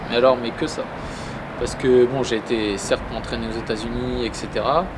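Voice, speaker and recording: Fairly quick speech from a man in a middle pitch range, noticeable background noise behind it. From Normandy, France (Saint-Lô, Manche). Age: 20s. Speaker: professional boxer. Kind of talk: interview.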